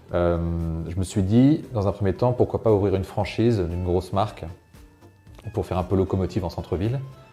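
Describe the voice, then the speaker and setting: Over music in the background, a man talks at a very fast pace in a very deep, low pitch with fairly even intonation. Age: 30s. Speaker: shop owner. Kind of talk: interview in a recorded report. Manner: hesitant, many fillers.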